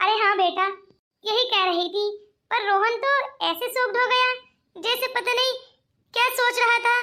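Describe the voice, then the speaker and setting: A woman uses a cartoonish character voice at an extremely high pitch. She moves at a moderate pace with long, frequent pauses. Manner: chatty, evasive.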